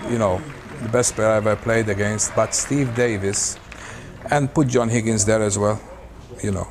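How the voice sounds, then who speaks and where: A man at a moderate pace with fairly even intonation and long, frequent pauses, with crowd noise in the background. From Malta. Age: 70s. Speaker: professional snooker player. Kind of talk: interview. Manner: halting.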